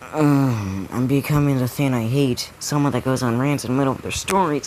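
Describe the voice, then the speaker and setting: There is noticeable background noise. The speaking pace is moderate. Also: man. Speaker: storyteller of fan fiction ideas. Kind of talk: casual storytelling monologue. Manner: upbeat, not sad-sounding.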